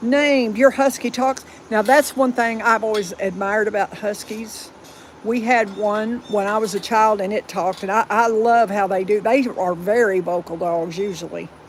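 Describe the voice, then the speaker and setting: Someone with a Southern US accent talks at a moderate pace over noticeable background noise. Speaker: dog owner livestreaming. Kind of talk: casual live stream chat. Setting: home livestream. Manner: halting, repeats words.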